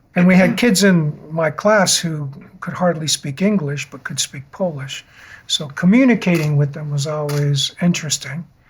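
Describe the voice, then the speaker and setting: The speaker has an American accent and ordinary pitch variation. The pace is moderate. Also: man, high pitch for a man. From Western Massachusetts. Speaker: interviewee telling life story. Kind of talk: life story interview. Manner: halting, many fillers.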